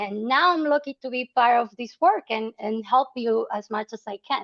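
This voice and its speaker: Speaking at a moderate pace with ordinary pitch variation, a woman uses a fairly high pitch and a Salvadoran accent. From El Salvador. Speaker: nonprofit membership officer. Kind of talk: webinar presentation. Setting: online webinar. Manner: hesitant with fillers.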